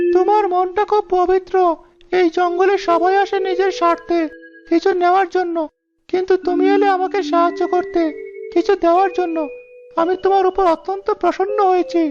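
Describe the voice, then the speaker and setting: At a moderate pace, a cartoonish character voice speaks at an extremely high pitch with a monotone, flat intonation. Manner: gentle, gracious.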